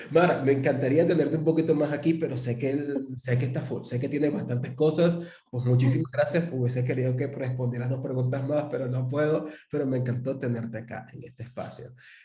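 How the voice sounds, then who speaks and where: A man with a Venezuelan accent talks fairly quickly at medium pitch, with audible room echo. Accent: Venezuelan accent noticeable. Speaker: interview host. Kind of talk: interview.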